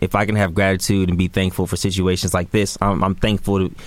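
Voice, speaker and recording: A man with an American accent talks at a very fast pace in a fairly low pitch. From Sacramento, California. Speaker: basketball content creator. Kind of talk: casual interview. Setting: studio.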